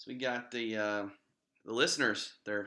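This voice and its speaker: Speaking at a fairly slow pace, a man with an American accent has a medium pitch and a bright, sharp tone. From West Virginia. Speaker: internet radio co-host. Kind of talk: casual chat.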